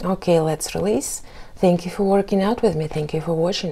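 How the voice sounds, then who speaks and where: In an ordinary speaking voice, a woman talks at a fairly low pitch with ordinary pitch variation. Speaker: workout instructor. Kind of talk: workout instruction. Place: studio. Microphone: camera far.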